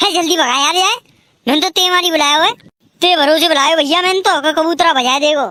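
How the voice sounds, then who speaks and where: A cartoonish character voice chatters at an extremely high pitch and a fairly quick pace. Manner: loud, brash.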